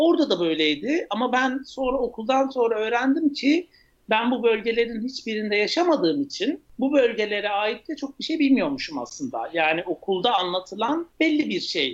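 With hardly any pauses, a man talks at a moderate pace in an extremely high voice that swings very widely in pitch. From eastern Turkey (Ağrı). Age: 30s. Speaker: chef and restaurateur. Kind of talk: podcast interview. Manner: hesitant, many fillers.

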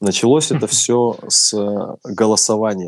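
Here is a man with an ordinary speaking voice, pitched fairly low. His pitch variation is ordinary. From Russia. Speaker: DJ and music producer. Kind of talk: casual interview.

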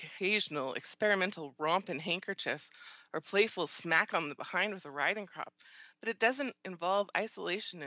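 Someone is reading aloud. They do so in a natural voice.

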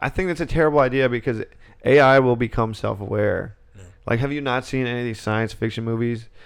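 At a fairly quick pace, a man speaks in an ordinary speaking voice at medium pitch with ordinary pitch variation over a quiet background. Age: 20s. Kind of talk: casual chat.

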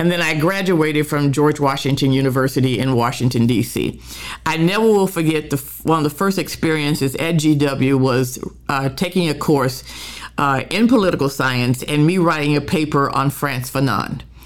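A woman with an American accent speaks in a very deep, low pitch at a moderate pace, with ordinary pitch variation and very even loudness. Noticeable background noise runs underneath. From Oklahoma City, US. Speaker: community activist. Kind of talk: interview storytelling.

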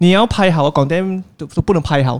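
This man has a high pitch. His pitch variation is ordinary. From Penang, Malaysia. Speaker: YouTuber. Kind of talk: casual chat. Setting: cafe.

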